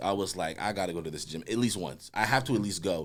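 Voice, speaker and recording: A man's very deep, low, animated voice at a very fast pace, on a very clean recording with a silent background. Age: 20s. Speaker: podcast co-host. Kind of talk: casual chat.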